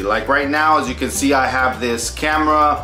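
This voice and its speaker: With faint music behind him and audible room echo, a man talks at a fairly quick pace. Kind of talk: casual vlog chat. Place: home room. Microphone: camera far.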